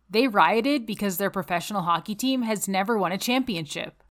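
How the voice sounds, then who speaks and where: A woman's ordinary speaking voice with a Canadian accent, medium in pitch with ordinary variation, at a moderate pace, in a very clean recording with a silent background. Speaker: podcast host. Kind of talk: casual conversational podcast.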